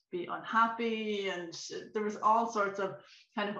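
Monotone, flat delivery at a moderate pace, bright and sharp in tone, with audible room echo over a quiet background. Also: woman. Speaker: remote interview guest. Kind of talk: interview answer. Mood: reflective, personal. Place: home room. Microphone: video call.

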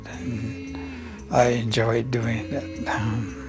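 A man's fairly low voice at a very slow pace, lively intonation, clear music in the background. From Mescalero Apache. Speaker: senior athlete, archer. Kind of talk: interview answer. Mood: warm, encouraging. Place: home room.

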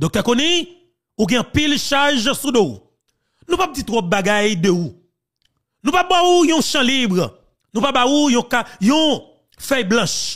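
Extremely high-pitched man in a Haitian accent, very slow with long, frequent pauses, very wide pitch swings, very even loudness, and a very clean recording with a silent background. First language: Haitian Creole (speaking French). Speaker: political commentator. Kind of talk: political commentary.

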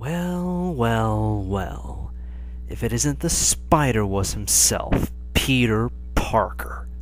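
Someone performs a put-on character voice at a very slow pace, with clear background noise behind it. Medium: voice reel. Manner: menacing, taunting.

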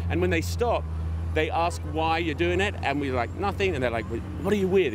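Speech comes at a very fast pace, dry with no echo, over noticeable background noise. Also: man. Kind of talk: interview answer. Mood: cheerful, enthusiastic. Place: street.

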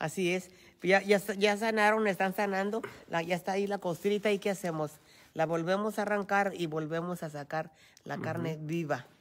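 Her medium-pitched voice moves at a moderate pace, and the woman keeps her intonation fairly even. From Mexico, Michoacán. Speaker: host's mother. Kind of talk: casual chat. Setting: outdoors. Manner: soft-spoken. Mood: warm, reflective about healing. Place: hall. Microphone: phone near.

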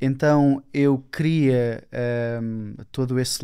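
In a European Portuguese accent, a man with a dark, mellow tone speaks at medium pitch with fairly even intonation against a quiet background. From Portugal. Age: 20s. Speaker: self-development speaker; speaker. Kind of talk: casual interview. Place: studio. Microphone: studio mic.

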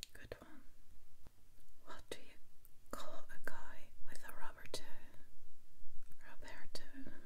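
A woman talks at a very slow pace with long, frequent pauses. Loud noise fills the background. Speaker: ASMR creator. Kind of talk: ASMR joke reading. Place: home room.

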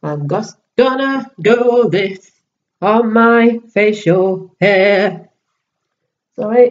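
A woman talks very slowly, her pitch varying in an ordinary way. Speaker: beauty vlogger. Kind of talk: makeup tutorial vlog. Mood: casual, a bit distracted. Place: home room. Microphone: webcam.

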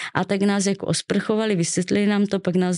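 A woman speaks at a fairly quick pace in a dark, mellow tone, with fairly even intonation. The background is quiet. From Czechia, Ostrava; Czechia. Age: 20s. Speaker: childhood trauma survivor; podcast guest. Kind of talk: personal testimony interview. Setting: studio. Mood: serious, recounting childhood trauma. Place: studio. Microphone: studio mic.

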